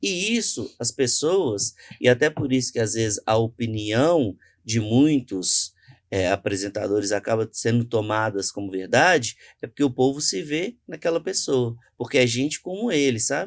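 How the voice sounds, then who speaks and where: A man of medium pitch talks at a moderate pace with lively intonation. The sound is dry and close, with no echo, in a very clean recording against a silent background. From Brazil, Minas Gerais (Contagem). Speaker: journalist and cultural entrepreneur. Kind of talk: podcast interview.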